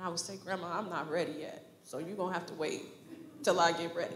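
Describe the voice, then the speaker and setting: A woman speaks over light background noise, with audible echo from the room. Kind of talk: eulogy tribute speech. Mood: emotional, remembering grandmother. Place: church. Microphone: handheld.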